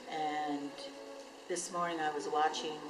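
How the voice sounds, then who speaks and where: Over noticeable background noise and audible room echo, a woman speaks fairly slowly in a very deep, low, monotone voice with flat intonation. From New Mexico, Taos Pueblo. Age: 60s. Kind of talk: testimony. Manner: halting.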